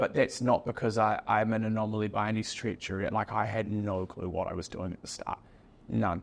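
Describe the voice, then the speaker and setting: A man with a New Zealand accent at a moderate pace, his intonation fairly even. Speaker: business founder, podcast guest. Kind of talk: casual chat. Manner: many filler words, unfinished sentences.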